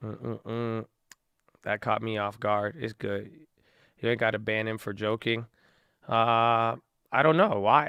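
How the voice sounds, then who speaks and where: Against a quiet background, a man with an American accent speaks at a fairly slow pace with long, frequent pauses, his medium pitch, bright, sharp tone and fairly even intonation. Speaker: livestreamer. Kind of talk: casual chat.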